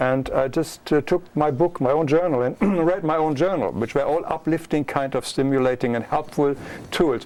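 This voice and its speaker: A man with a German accent speaks at a fairly high pitch. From Germany. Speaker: author and illustrator. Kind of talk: interview.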